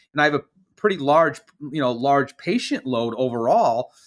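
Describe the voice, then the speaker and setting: A man with an ordinary speaking voice talks in an American accent at a moderate pace, with lively intonation. The recording is very clean, with a silent background. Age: 40s. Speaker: naturopathic physician. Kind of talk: interview.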